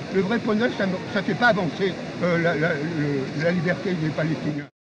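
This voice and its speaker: The pace is moderate, with ordinary pitch variation. Audible room echo is present. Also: man, high pitch for a man. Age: 80s+. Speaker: veteran activist. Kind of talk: street argument. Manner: animated; halting.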